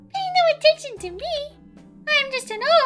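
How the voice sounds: A put-on character voice at a moderate pace with faint music in the background. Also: man, extremely high pitch for a man.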